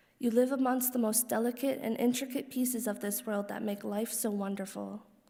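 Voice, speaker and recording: A woman with a fairly high pitch speaks quietly in a monotone, flat delivery, her tone dark and mellow and somewhat breathy, with audible room echo around her. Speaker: daughter of the deceased giving eulogy. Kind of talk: reading aloud a personal letter at a funeral. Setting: funeral service hall.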